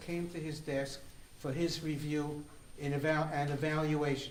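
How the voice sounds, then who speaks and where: Noticeable background noise and audible room echo surround the recording. A man speaks at a moderate pace with a fairly high pitch. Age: 70s. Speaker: conference speaker. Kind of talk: conference talk. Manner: halting, repeats words.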